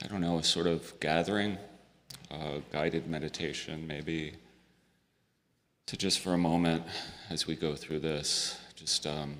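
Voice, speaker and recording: This soft-spoken voice moves at a fairly slow pace with long, frequent pauses. Its intonation stays monotone and flat. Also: man, very deep, low pitch for a man. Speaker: hospital chaplain. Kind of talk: guided meditation. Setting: memorial service.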